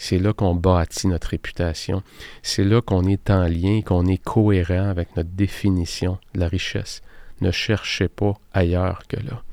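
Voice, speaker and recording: A man with a Quebec accent, very deep and low in pitch, monotone and flat, dark and mellow in tone, at a fairly slow pace, with a dry, close sound with no echo, in a very clean recording with a silent background. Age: 50s. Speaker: productivity coach and podcast host. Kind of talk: solo podcast monologue.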